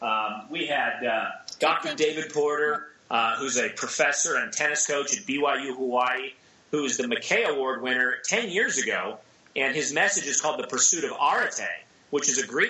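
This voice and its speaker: A man talks at a moderate pace in an American accent, with noticeable background noise around him. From US Pacific Northwest, Seattle. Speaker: entrepreneur and author. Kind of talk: casual chat.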